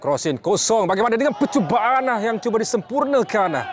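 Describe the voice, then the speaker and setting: A man speaks in a high voice with lively intonation and an animated tone over noticeable background noise. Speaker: football commentator. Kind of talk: live football commentary, play-by-play. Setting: football pitch, friendly match. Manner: fast, animated, rising-and-falling excitement at chances and goals.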